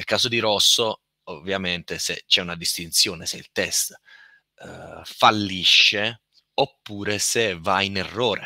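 A man's bright, sharp tone with fairly even intonation, in a dry, close sound with no echo. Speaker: software testing speaker. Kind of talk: technical presentation.

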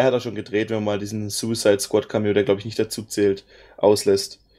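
A dark, mellow tone marks this man's fairly quick delivery. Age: 30s. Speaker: podcast co-host. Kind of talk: casual chat. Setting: online voice chat.

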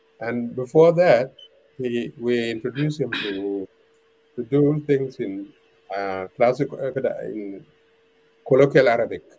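A man with a South Sudanese accent speaks at a fairly slow pace in a dark, mellow tone and medium pitch, with ordinary pitch variation, big swings in loudness and long, frequent pauses. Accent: South Sudanese (Dinka) English. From South Sudan, Twic East (Jonglei). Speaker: veteran journalist and author. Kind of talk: interview. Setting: video call. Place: home room. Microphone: video call.

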